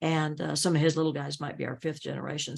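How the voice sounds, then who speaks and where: A woman speaks with an American accent at a very deep, low pitch, with vocal fry. The background is quiet. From upstate New York. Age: 70s. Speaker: realtor. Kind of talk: podcast interview.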